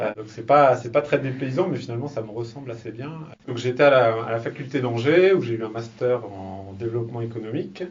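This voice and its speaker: Amid noticeable background noise, a man talks at a fairly quick pace in a medium pitch, with ordinary pitch variation and big swings in loudness. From France, Laval (Mayenne). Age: 30s. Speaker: business incubator manager. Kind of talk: interview. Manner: hesitant, many fillers.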